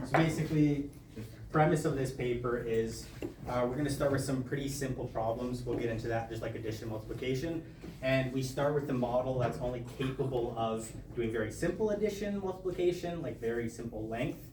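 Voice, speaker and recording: A man speaks at a fairly quick pace in a medium pitch with ordinary pitch variation, with audible room echo and noticeable background noise. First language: not English. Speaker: study group presenter. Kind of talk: lecture. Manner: casual, halting with fillers.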